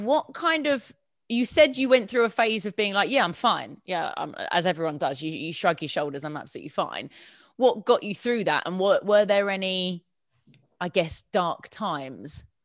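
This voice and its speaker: In a very clean recording with a silent background, a woman with a southern English accent speaks at medium pitch and a moderate pace, her pitch swinging very widely. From southern England. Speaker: podcast host. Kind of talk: casual interview.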